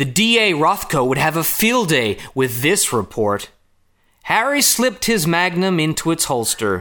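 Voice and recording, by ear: Putting on a character voice with an American accent, a man speaks at a fairly slow pace with a bright, sharp tone, a fairly high pitch and big pitch swings. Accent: put-on American.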